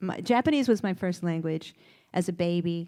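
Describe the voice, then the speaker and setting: A woman's normal speaking voice with an American accent at a moderate pace, on a very clean recording with a silent background. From US South, Kentucky. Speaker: costume designer. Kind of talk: onstage interview. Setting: stage with audience.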